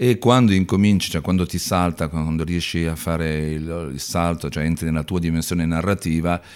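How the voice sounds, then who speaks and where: A man's very deep, low voice at a moderate pace, in a very clean recording with a silent background. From Milan area, northern Italy. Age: 50s. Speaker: actor and comedian. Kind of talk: casual interview chat. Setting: studio.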